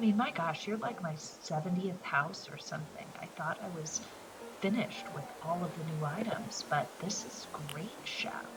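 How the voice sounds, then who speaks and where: Noticeable background noise fills the clip. Through it, a woman speaks at a fairly low pitch. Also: ordinary pitch variation, moderate pace. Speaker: gaming video creator. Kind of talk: casual gameplay commentary.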